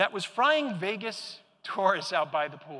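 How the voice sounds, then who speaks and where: His voice is raised and projected, with a bright, sharp tone. The man is heard against a quiet background. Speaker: keynote speaker. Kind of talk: conference keynote talk. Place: hall. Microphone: lapel.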